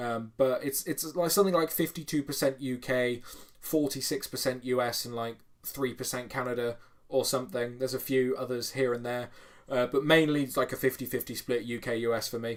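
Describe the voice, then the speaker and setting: With a British accent, a man of medium pitch speaks at a fairly quick pace with fairly even intonation. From United Kingdom. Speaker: strongman YouTuber. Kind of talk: livestream chat reading comments. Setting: home bedroom livestream. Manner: casual, filler-heavy.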